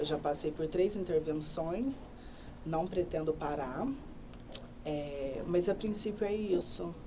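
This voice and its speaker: Over noticeable background noise, a woman with a fairly low pitch speaks at a very slow pace, with long, frequent pauses and ordinary pitch variation. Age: 20s. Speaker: hairdresser. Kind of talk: interview. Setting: studio.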